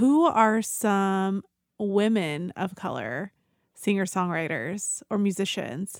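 A woman with an unremarkable speaking voice talks at a medium pitch with ordinary pitch variation, the sound dry and close with no echo in a very clean recording over a silent background. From Mexican-American. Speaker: mental health counselor and podcast co-host. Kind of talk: casual interview chat. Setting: podcast recording.

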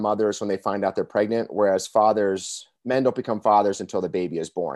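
A man with an unremarkable speaking voice talks fairly quickly in a fairly low pitch. The sound is dry and close, with no echo and a quiet background. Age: 40s. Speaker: author and men's coach. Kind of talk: casual chat.

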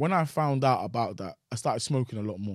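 On a very clean recording with a silent background, a man with a London accent talks at a very fast pace, at medium pitch and with lively intonation. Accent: London (multicultural London English). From Nigerian family, raised in London. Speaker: comedian and content creator. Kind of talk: casual interview about personal story.

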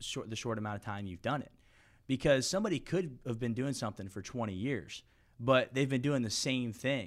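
Heard in a very clean recording with a silent background, a man with an American accent has an unremarkable speaking voice, a medium pitch and ordinary pitch variation. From US South, Florida (St. Petersburg). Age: 20s. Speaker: title company sales rep and podcaster. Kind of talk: casual interview.

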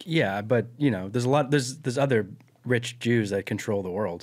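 This man has a normal speaking voice, medium pitch, ordinary pitch variation and a fairly quick pace. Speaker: cousin, co-host. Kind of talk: casual comedic chat. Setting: studio.

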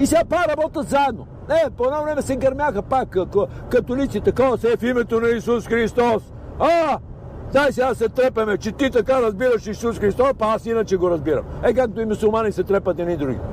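Here a man speaks at an extremely high pitch. His pace is fairly quick. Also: ordinary pitch variation. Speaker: storyteller guest. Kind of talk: casual chat. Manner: animated.

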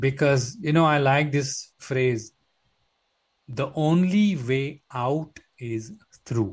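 Speaking at a very slow pace with long, frequent pauses, a man uses a somewhat breathy, fairly high voice with ordinary pitch variation. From India, Mumbai. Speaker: yoga teacher. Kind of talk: interview conversation.

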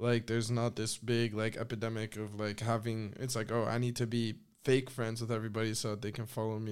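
A man with an American accent and a medium pitch talks at a fairly quick pace. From northern US. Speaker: skate videographer and content creator. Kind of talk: casual chat. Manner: casual, filler-heavy.

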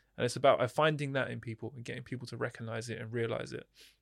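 In a southern English accent, the speech moves at a very fast pace on a very clean recording with a silent background. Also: man. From Hertfordshire, England. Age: 30s. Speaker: kickboxing champion turned mental health coach. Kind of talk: podcast interview.

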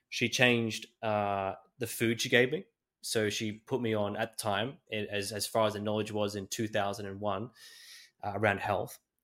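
Speaking with an Australian accent, a man with a fairly low pitch keeps a monotone, flat intonation at a moderate pace in a very clean recording with a silent background. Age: 20s. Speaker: podcast host. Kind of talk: interview.

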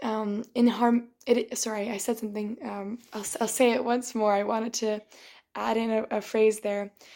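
A woman's fairly high voice in a flat monotone. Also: moderate pace. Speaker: podcast host, yoga teacher. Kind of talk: solo monologue podcast. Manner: halting.

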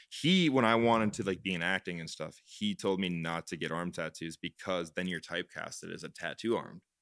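Speaking at a fairly quick pace, a man with a very deep, low voice uses ordinary pitch variation, and the sound is dry and close with no echo. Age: 20s. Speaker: property management company co-founder. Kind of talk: casual chat.

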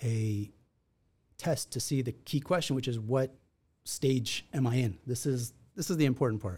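The voice has a dark, mellow tone, is somewhat breathy, and moves at a moderate pace with ordinary pitch variation. The recording is very clean, with a silent background. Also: man. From Israel. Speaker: attorney. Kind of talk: casual interview.

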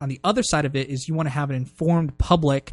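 Against a quiet background, a man with an American accent talks at a very fast pace in a fairly high, somewhat breathy voice. The sound is dry and close with no echo, and his pitch varies in an ordinary way. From US, Maryland. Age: 20s. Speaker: business school student. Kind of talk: casual chat.

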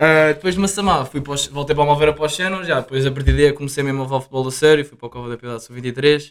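Delivered at a very fast pace with hardly any pauses, the speech keeps a fairly even intonation while its loudness swings widely. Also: man, fairly high pitch for a man. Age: 20s. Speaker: university student and footballer. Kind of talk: casual chat.

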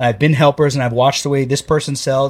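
In a very clean recording with a silent background, a man with a fairly high pitch speaks at a fairly quick pace, his somewhat breathy voice showing ordinary pitch variation. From North Jersey, Bergen County. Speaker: plumbing contractor and falconer. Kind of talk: casual chat.

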